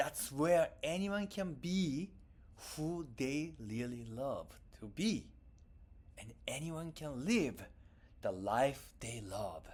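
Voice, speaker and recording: Speaking at a very slow pace with a Japanese accent, the voice leaves long, frequent pauses. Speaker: tech company founder. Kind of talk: keynote presentation.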